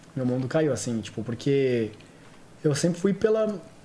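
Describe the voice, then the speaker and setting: A man speaks at a moderate pace with very wide swings in pitch. Noticeable background noise runs behind him. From Santos, São Paulo state, Brazil. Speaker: actor, model and TV stage assistant. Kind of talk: casual chat. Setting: studio.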